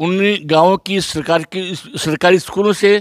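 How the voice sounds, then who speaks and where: A man with a high voice speaks in fairly even intonation. The sound is dry and close with no echo, very clean, over a silent background. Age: 80s+. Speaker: village elder, former village head. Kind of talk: interview.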